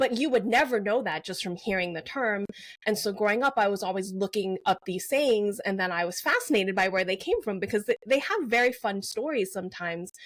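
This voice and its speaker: At a fairly quick pace with hardly any pauses, a woman with a medium-pitched voice talks in a Mandarin accent, her pitch varying in an ordinary way. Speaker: novelist. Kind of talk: interview.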